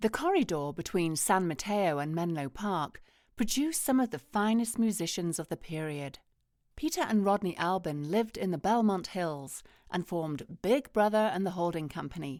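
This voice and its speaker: A woman with an ordinary speaking voice talks at a moderate pace, her pitch medium and her intonation lively. The recording is very clean, with a silent background. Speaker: voice-over artist. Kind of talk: museum audio guide narration.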